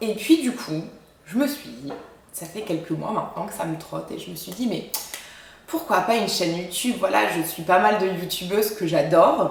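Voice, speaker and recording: Audible room echo and noticeable background noise accompany a woman's medium-pitched voice. She talks at a moderate pace with lively intonation and big swings in loudness. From France, Champagne-Ardenne. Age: 20s. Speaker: dietitian and YouTuber. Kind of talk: casual vlog introduction. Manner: hesitant, many fillers.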